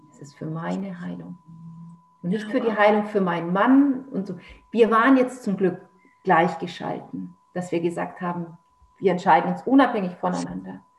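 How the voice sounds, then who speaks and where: Pausing long and often, a woman with a medium pitch and ordinary pitch variation talks at a moderate pace, her loudness swinging widely in audible room echo. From Germany, Nuremberg (Franconia). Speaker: author. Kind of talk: personal testimony in interview.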